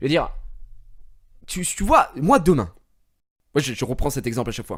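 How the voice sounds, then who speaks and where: A man talks at a moderate pace in a fairly high, somewhat breathy voice. His tone is animated, with lively intonation and big swings in loudness. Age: 20s. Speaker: gaming streamer. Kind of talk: casual chat. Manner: halting.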